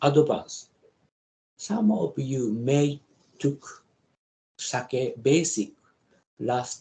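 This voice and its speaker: In a Japanese accent, a man with a fairly high pitch and a dark, mellow tone talks at a very slow pace, his intonation lively and his voice showing vocal fry. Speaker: professor. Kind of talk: lecture. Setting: video call. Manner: halting.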